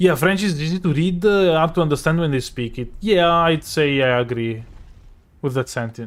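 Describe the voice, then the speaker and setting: With an Italian accent, a man speaks at a moderate pace in a fairly high pitch with lively intonation. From Italy. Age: 20s. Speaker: streamer. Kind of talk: casual chat. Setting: live stream.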